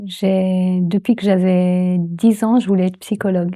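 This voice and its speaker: The recording is very clean, with a silent background. A woman speaks in a dark, mellow, medium-pitched voice with monotone, flat intonation. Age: 70s. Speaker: transpersonal psychology trainer. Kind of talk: interview answer.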